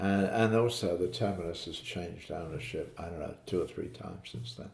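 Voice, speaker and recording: Somewhat breathy and fairly quick, a man speaks with ordinary pitch variation and big swings in loudness. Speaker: father recounting family memories. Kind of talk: casual family interview. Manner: halting, with many fillers.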